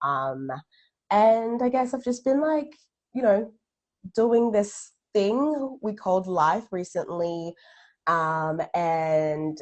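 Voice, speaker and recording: The pitch swings very widely. The pace is very slow. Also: woman. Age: 20s. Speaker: case manager, writer. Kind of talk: casual interview. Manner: halting, many fillers.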